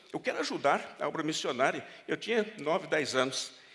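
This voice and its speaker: A man speaks with very wide pitch swings. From Brazil. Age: 70s. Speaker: pastor. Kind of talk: sermon. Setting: church.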